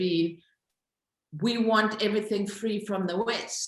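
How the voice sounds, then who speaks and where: A woman speaks with a Zulu accent at a fairly high pitch. Her voice is somewhat breathy. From South Africa. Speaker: social entrepreneur, company founder. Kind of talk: interview.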